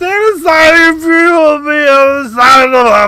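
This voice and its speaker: This is a put-on character voice, bellowing at a high pitch. It moves at a moderate pace. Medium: game stream. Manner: roaring, commanding.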